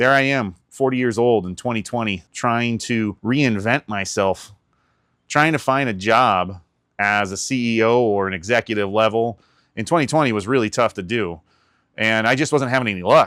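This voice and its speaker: Man, medium pitch, a normal speaking voice: he talks at a moderate pace with ordinary pitch variation in a very clean recording with a silent background. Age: 40s. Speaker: YouTube content creator. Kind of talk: personal vlog monologue. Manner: casual, conversational.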